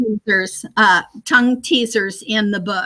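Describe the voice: The voice has a bright, sharp tone, a moderate pace, and fairly even intonation. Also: woman, medium pitch for a woman.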